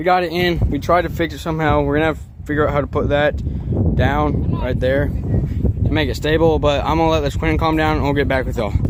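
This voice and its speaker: This man's very rapid speech comes through noticeable background noise and an audible room echo. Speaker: youtuber. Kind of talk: casual vlog. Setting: outdoors.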